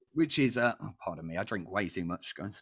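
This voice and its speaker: A man with a British accent and very wide pitch swings. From Britain. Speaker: quiz show host. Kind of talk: casual panel quiz chat.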